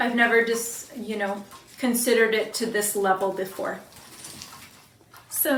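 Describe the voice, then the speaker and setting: At a moderate pace, a woman talks at a fairly high pitch with audible room echo and noticeable background noise. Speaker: student doing a class exercise. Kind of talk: self-recorded demonstration. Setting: at home. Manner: loud; hesitant.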